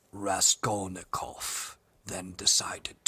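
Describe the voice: This raspy voice is a put-on character voice. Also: man, fairly low pitch for a man, fairly slow pace.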